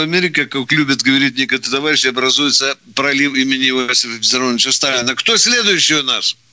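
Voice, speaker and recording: A man with a plain, everyday voice speaks at a fairly quick pace. His pitch is fairly high, with ordinary pitch variation. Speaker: radio host, retired army colonel. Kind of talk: call-in radio show. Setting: studio.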